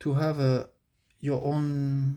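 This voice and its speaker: A man speaks with a French accent at a medium pitch. His tone is dark and mellow. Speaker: amateur manga artist. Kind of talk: casual vlog commentary. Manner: halting, many fillers.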